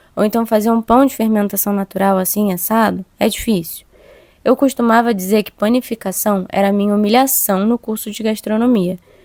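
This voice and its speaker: With a dry, close sound and no echo, a woman with a fairly high pitch talks at a fairly quick pace in fairly even intonation. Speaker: podcast host, cook. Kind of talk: personal reflection monologue. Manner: fast-talking.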